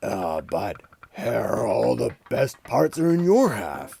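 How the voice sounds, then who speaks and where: With a growling, put-on character voice, a man speaks at a very slow pace. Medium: read story. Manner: slow, drowsy, grunting.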